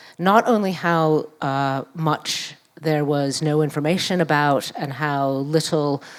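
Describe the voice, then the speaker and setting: On a very clean recording with a silent background, a woman with an American accent speaks at a very slow pace, her very deep, low pitch showing ordinary variation. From New York. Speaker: activist and scholar. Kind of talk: public panel conversation.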